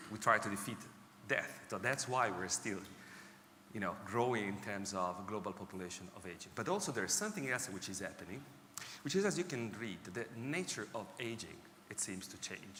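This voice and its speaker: In an Italian accent, a man with a fairly low pitch talks at a fairly quick pace with big swings in loudness and audible room echo. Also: ordinary pitch variation. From Italy. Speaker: technology executive speaking on healthy ageing. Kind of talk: conference talk. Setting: stage with audience.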